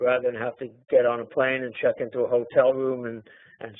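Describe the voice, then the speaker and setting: A man talks at a fairly quick pace. His medium-pitched voice stays monotone and flat. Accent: New York. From New York. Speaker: trader and trading teacher. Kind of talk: webinar talk.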